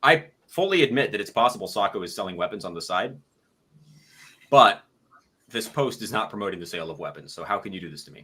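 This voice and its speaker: A man mumbling at a very fast pace, with long, frequent pauses and big swings in loudness. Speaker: gun YouTuber. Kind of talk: casual chat. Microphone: a bit quiet.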